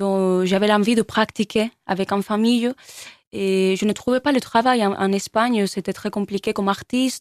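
A woman's medium-pitched voice, fairly even in intonation and fairly slow in pace, in a very clean recording with a silent background and a dry, close sound with no echo. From Spain (Barcelona). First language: Spanish or Catalan (speaking French). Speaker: musician. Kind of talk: interview. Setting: studio. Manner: halting.

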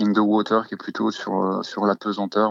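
This is a man talking. The audio sounds dry and close, without any echo. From Normandy, France. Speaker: musician. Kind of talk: interview. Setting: phone call. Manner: halting.

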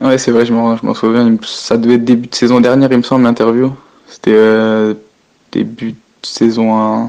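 A man talks at medium pitch with monotone, flat intonation. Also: moderate pace. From northern France, Picardy. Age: 20s. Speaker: professional footballer. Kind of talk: phone interview. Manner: halting.

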